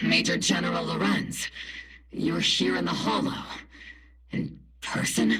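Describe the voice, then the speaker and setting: Using a put-on character voice, a man speaks at a fairly slow pace with a very deep, low pitch and long, frequent pauses. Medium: video game. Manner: blunt, sarcastic.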